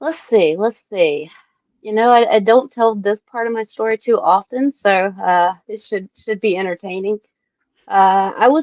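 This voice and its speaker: Dry, close sound with no echo and a woman at a fairly high pitch, speaking at a fairly slow pace with a Southern US accent. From US South, South Carolina. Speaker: cannabis scientist. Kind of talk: casual interview chat.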